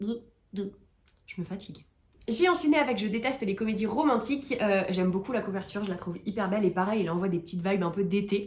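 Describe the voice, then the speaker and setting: Her voice is somewhat breathy and medium in pitch. The woman talks at a fairly quick pace with ordinary pitch variation. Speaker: book reviewer youtuber. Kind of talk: casual book review vlog. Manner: animated.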